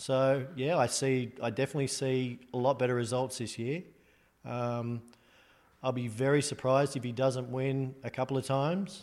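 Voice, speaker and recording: A man speaks at a moderate pace in an Australian accent. His voice sits at a medium pitch, and his intonation stays fairly even. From Australia (Sydney). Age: 40s. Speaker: golf caddy. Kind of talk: casual interview. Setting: in a house.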